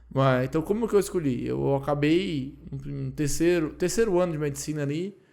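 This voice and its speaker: Dark, mellow tone with ordinary pitch variation, in a Ceará accent. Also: man. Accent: Cearense (northeastern Brazilian). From Ceará, Brazil. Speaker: anesthesiologist. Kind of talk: casual podcast interview.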